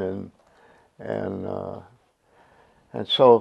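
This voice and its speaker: A man is talking. Behind him the background is quiet. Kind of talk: interview answer. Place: home room.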